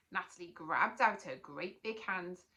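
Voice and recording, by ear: A natural voice reading aloud.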